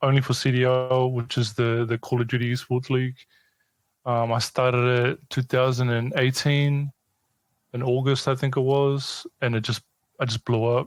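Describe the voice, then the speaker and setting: Monotone, flat intonation from a man with a New Zealand accent and medium pitch. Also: moderate pace. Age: 30s. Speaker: esports news account runner. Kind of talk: podcast interview.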